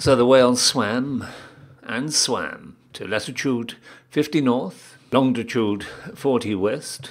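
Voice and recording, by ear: Pitch moves with ordinary variation. A person reads aloud in a natural voice.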